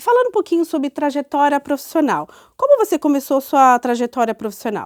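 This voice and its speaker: In a relaxed tone, a woman speaks fairly quickly at a high pitch, the sound dry and close with no echo. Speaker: HR leader and interviewer. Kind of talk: interview conversation.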